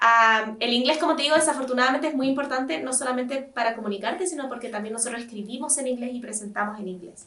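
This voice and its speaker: A woman's high, bright, sharp voice at a very fast pace, with ordinary pitch variation, big swings in loudness and hardly any pauses. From Chile. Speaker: astronomer and science communicator. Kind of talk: casual chat. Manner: warm, reassuring.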